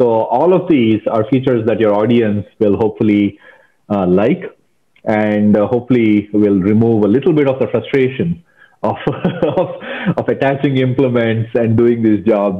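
A man at a moderate pace with ordinary pitch variation over a quiet background. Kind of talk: interview answer. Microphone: earbuds.

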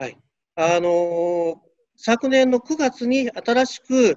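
A man's voice comes through dry, with no echo. The background is quiet. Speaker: university chemistry professor. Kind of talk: interview. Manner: halting. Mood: friendly, smiling. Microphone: video call.

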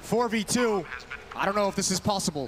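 Here a man is talking. His intonation stays fairly even. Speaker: esports caster, analyst. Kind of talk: live esports commentary. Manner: analytical, quick-paced.

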